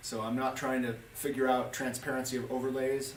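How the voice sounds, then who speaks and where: A man's medium-pitched voice comes through an audible room echo, with noticeable noise behind him. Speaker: ski guide. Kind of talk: tutorial. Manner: fast.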